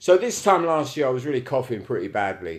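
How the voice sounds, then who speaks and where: With a Cockney accent, a man talks at a fairly quick pace on a very clean recording with a silent background. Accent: London Cockney. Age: 60s. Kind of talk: casual live-stream monologue. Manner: casual, rambling, sweary.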